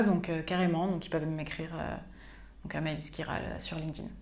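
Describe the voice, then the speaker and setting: A woman speaks fairly quickly, with monotone, flat intonation. Audible room echo surrounds her voice. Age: 20s. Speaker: customer success manager. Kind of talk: interview.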